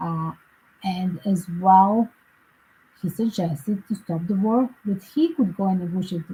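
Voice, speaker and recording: This woman's voice has a dark, mellow tone, somewhat breathy, at a medium pitch. She speaks at a fairly slow pace with fairly even intonation. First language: not English. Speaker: psychic tarot reader and commentator. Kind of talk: casual livestream commentary. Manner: halting, with fillers.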